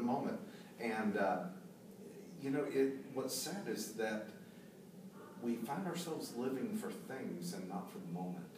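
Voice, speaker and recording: There is noticeable background noise and audible room echo as a man speaks at a moderate pace with a medium pitch. His pitch swings very widely, and he pauses often and at length. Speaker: drummer and IT executive. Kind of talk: casual discussion. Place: meeting room.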